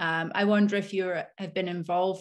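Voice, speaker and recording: A woman speaks at a moderate pace with medium pitch. Her pitch varies in an ordinary way, and the background is quiet. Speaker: PhD student, co-host; co-host. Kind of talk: interview, conversational. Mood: thoughtful, tentative. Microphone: video call.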